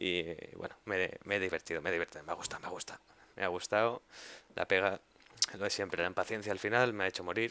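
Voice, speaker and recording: In a dry, close sound with no echo, a man with a very deep, low pitch and a bright, sharp tone speaks very fast with fairly even intonation. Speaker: gaming youtuber. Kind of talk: gameplay commentary. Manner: quiet, focused at times.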